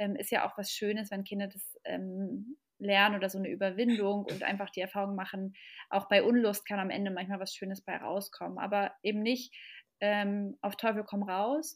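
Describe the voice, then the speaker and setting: At a moderate pace and medium pitch, a woman with a plain, everyday voice speaks in fairly even intonation, captured in a very clean recording with a silent background. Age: 30s. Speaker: parenting expert and mother. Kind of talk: podcast interview.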